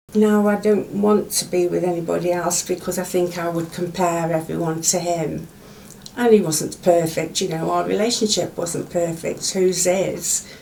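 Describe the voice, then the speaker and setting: Recorded with audible room echo and noticeable background noise, a woman talks at a moderate pace in a fairly low pitch with monotone, flat intonation. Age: 70s. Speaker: widowed pensioner. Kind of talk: interview.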